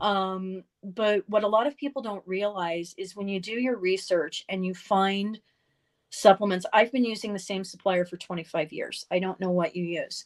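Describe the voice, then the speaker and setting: A normal speaking voice from a woman at medium pitch, moderate pace and ordinary pitch variation, in a very clean recording with a silent background and a dry, close sound with no echo. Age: 50s. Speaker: wellness author. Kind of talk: casual interview chat.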